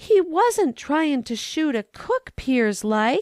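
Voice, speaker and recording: A shrill, put-on character voice, female-sounding and high-pitched, with very wide pitch swings at a very slow pace. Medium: read story. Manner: terse, monosyllabic.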